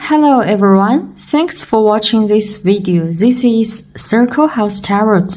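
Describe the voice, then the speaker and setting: Speaking at a very slow pace, a woman has a somewhat breathy voice with a dark, mellow tone. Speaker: tarot reader. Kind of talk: tarot reading for viewers. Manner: halting with many fillers.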